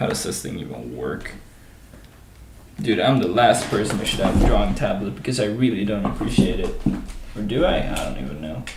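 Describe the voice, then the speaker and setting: A man's fairly quick speech broken by long, frequent pauses, with noticeable background noise and audible room echo. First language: not English. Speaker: gaming livestreamer coding a game level. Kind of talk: casual commentary while coding. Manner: casual, hesitant with fillers.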